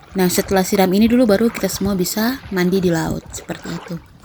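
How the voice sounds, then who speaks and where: Noticeable background noise sits behind a woman of medium pitch. She talks at a moderate pace with fairly even intonation. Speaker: vlogger. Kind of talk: vlog narration. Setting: outdoors at a beach.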